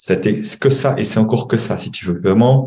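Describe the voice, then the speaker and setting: A man at a moderate pace, with audible room echo around him. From Switzerland. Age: 60s. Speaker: money coach and former banker. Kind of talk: podcast interview. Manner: halting.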